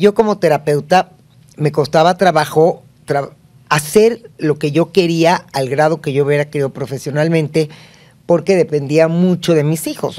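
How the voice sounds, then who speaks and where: Very deep and low for a woman, her voice has a dark, mellow tone, fairly even intonation and a moderate pace. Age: 60s. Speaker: family therapist; guest. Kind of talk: casual chat. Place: studio. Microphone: studio mic.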